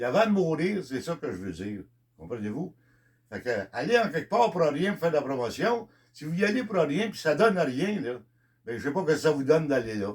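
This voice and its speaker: A man with a Quebec accent speaks at a fairly quick pace, his fairly high voice showing vocal fry. His pitch swings very widely and his loudness rises and falls sharply. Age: 70s. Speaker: country singer. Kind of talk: monologue. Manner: halting.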